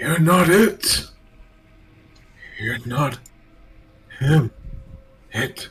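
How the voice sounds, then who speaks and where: In a raspy, put-on character voice, a man speaks at a fairly high pitch. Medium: actual play. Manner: halting, stammering.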